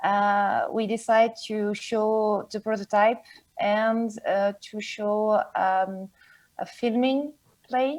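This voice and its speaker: Speaking very slowly with a French accent, a woman uses a fairly high voice. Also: ordinary pitch variation. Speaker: board game publisher. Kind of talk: interview. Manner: halting.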